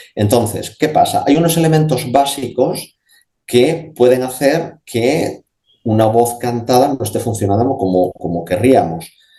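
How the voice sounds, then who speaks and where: This man has a medium-pitched, somewhat breathy voice with a dark, mellow tone, lively intonation and a fairly slow pace. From Spain, Asturias. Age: 50s. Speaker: speech therapist and voice specialist. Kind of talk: radio interview answer. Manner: conversational, explanatory, with hesitations.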